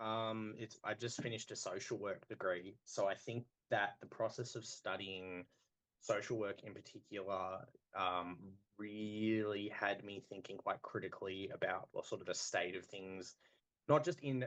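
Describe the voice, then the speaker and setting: At a moderate pace, a man speaks with an Australian accent. His voice is fairly low, with ordinary pitch variation. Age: 30s. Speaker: metal band vocalist. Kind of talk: podcast interview. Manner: halting.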